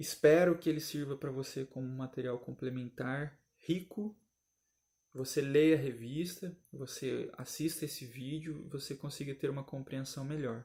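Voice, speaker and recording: A man's fairly high, dark and mellow voice, somewhat breathy, at a moderate pace with fairly even intonation. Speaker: Sunday school Bible teacher. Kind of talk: recorded Bible lesson commentary.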